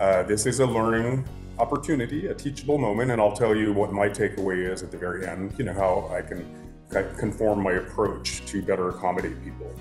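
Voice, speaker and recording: Here a man talks at a fairly quick pace and fairly low pitch. Clear music sits in the background. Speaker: course instructor. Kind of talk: casual talk to camera addressing class. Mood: earnest, slightly apologetic. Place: home room. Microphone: phone near.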